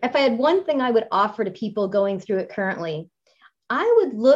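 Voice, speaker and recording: A plain, everyday voice carries its words with lively intonation. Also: woman. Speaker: podcast host and fitness trainer. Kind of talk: interview, friendly conversation.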